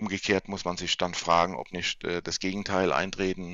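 A man's voice sits very deep and low, its intonation flat and monotone throughout. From Kurpfalz region near Mannheim, Germany. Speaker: banker and finance expert. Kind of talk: interview. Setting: home office.

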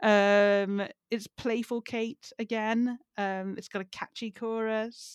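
A woman with a fairly high pitch speaks very slowly in a flat monotone, in a dry, close sound with no echo and a silent, very clean background. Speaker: comedy writer and podcast co-host. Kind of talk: casual chat.

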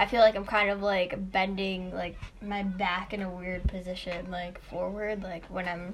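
Amid noticeable background noise and audible room echo, a woman with an American accent speaks at a medium pitch and moderate pace in a monotone, flat intonation. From Chicago. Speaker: podcast co-host. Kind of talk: casual debate.

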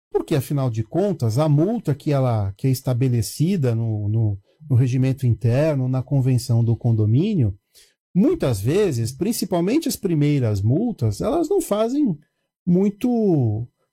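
The tone is dark and mellow, somewhat breathy, with very wide pitch swings. Delivery is fairly slow. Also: man, fairly high pitch for a man. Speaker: building manager. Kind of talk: casual chat.

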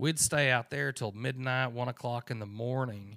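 An ordinary speaking voice, a man's, sits at a medium pitch with ordinary pitch variation. He speaks fairly slowly on a very clean recording with a silent background. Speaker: podcast host. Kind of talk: casual chat. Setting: home recording. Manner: casual, joking.

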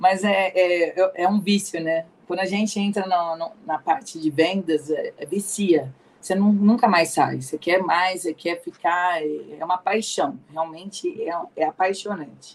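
Woman at medium pitch, fairly slow pace and fairly even intonation, an unremarkable speaking voice. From Ribeirão Preto, São Paulo state, Brazil. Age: 40s. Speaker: pharmacist and pharmaceutical sales rep. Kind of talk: career testimony in interview. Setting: online live stream.

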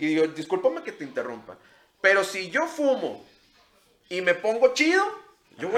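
Very wide pitch swings mark this man's high-pitched voice. He talks at a moderate pace. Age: 30s. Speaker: podcast host. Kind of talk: casual chat.

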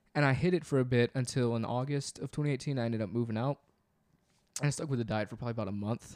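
Speaking at a very fast pace, a man with a medium pitch and ordinary pitch variation comes through in a dry, close sound with no echo. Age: 20s. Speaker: podcast co-host. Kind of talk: casual chat.

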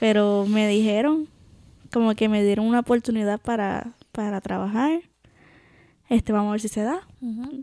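A woman with a Puerto Rican accent speaks at a moderate pace with a fairly high pitch, a dark, mellow tone and ordinary pitch variation, leaving long, frequent pauses. The recording is very clean with a silent background and a dry, close sound with no echo. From Puerto Rico. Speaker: podcast co-host. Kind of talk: casual chat.

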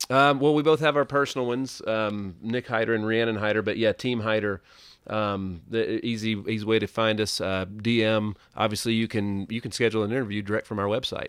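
A medium-pitched man with a Southern US accent talks with fairly even intonation and hardly any pauses in a very clean recording with a silent background. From US South (Tennessee). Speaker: entrepreneur, insurance advisor. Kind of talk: casual interview. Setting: studio.

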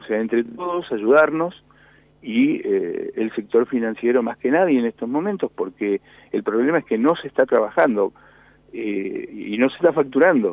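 A man speaks at a moderate pace with a Rioplatense accent. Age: 60s. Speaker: industrialist. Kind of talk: radio interview. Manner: halting.

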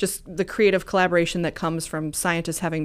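Speaking very fast, a woman with an American accent uses a fairly low pitch, vocal fry, and flat, monotone intonation. The recording is very clean, with a silent background. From US Midwest, rural Missouri. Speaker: economic development official. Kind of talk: interview. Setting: studio, live stream.

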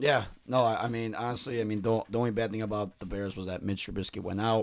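Very fast delivery with fairly even intonation. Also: man, medium pitch for a man. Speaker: sports podcast host. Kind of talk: casual chat. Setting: live recorded show with co-hosts.

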